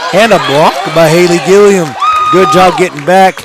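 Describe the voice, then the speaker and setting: A man speaks over noticeable background noise. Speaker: play-by-play sports announcer. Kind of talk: live commentary. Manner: animated.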